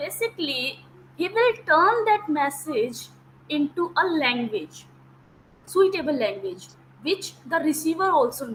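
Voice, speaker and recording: A woman's extremely high, bright and sharp voice at a fairly slow pace, with very wide pitch swings. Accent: Indian. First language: Hindi. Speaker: teacher. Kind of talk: lecture. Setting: video call.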